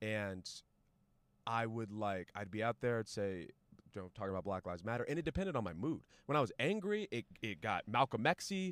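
A man at medium pitch, lively intonation and a fairly quick pace, in a dry, close sound with no echo. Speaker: comedian. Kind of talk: casual chat. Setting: outdoors in a car. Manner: calm, polished.

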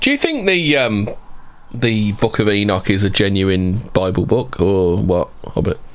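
A man with a British accent, fairly low in pitch, his loudness very even and his pitch varying an ordinary amount, over noticeable background noise. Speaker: podcast co-host. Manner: fast talker.

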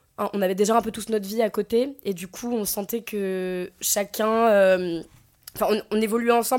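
A fairly high-pitched woman's voice at a fairly quick pace, monotone and flat in intonation, on a very clean recording with a silent background. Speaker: actress. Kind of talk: casual interview.

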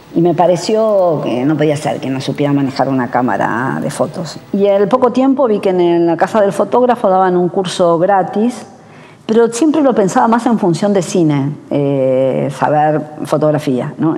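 A woman's fairly low voice with very wide pitch swings, at a fairly slow pace, over noticeable background noise. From Argentina, Buenos Aires. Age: 60s. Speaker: photographer. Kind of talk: interview testimony.

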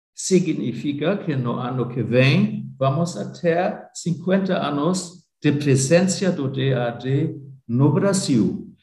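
Speaking with a German accent, a man talks at a very slow pace in a dark, mellow tone. His voice is somewhat breathy, and there is audible room echo. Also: ordinary pitch variation. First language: German (speaking Portuguese). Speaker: academic exchange organization director. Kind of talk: interview. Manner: halting.

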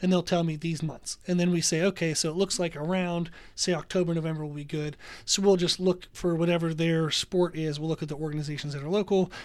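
A man's high-pitched voice, flat and monotone, at a very fast pace. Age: 30s. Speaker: gym owner and personal trainer. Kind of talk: interview.

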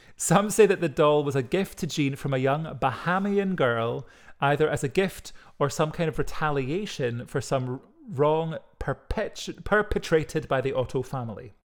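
A fairly high-pitched man with a Scottish accent, lively intonation and a moderate pace, in a very clean recording with a silent background. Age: 30s. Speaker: podcast co-host. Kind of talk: casual chat with storytelling.

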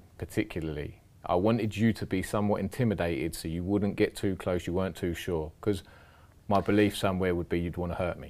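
A man with a London accent speaks at a fairly quick pace in a very deep, low voice, his intonation fairly even, on a very clean recording with a silent background. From London, south-west. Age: 40s. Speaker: former offender turned trauma worker. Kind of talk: podcast interview.

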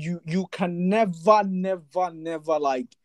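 The speaker is a man with a high-pitched voice. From Nigeria. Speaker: podcast host. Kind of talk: casual interview chat. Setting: studio.

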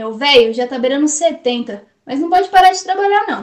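A woman speaks with a Brazilian accent. Her pace is fairly slow and her intonation lively. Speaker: poet. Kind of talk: spoken-word poetry performance. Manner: impassioned, rhythmic, defiant; sarcastic, biting.

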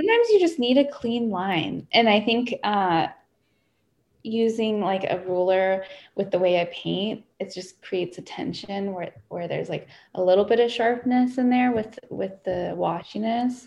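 A woman's medium-pitched, plain, everyday voice with ordinary pitch variation at a moderate pace, against a quiet background. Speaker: painter and writer. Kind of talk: casual chat. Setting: video call. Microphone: no microphone.

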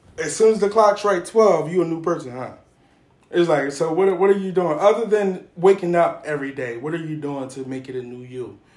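Loudness swings widely as a man with a high pitch and lively intonation speaks at a fairly quick pace. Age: 30s. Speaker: podcast host. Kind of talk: casual chat.

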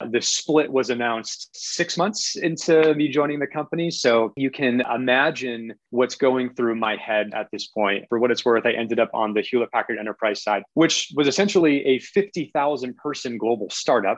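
With an American accent, a man talks at a moderate pace and medium pitch in an unremarkable speaking voice, with ordinary pitch variation and hardly any pauses. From US Northeast, southern Maine. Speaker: tech company executive. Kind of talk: interview.

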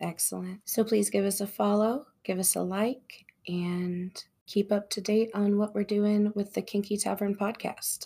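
Somewhat breathy and dark, mellow in tone, a woman's voice sits at a medium pitch. She talks at a fairly slow pace with monotone, flat intonation. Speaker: podcast host. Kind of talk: casual chat.

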